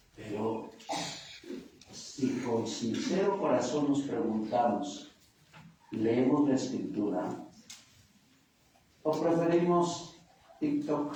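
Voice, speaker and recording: Speaking at a very slow pace with long, frequent pauses, a man uses a fairly high pitch and lively intonation at very even loudness, with noticeable background noise and audible room echo. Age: 60s. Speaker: priest. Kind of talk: sermon.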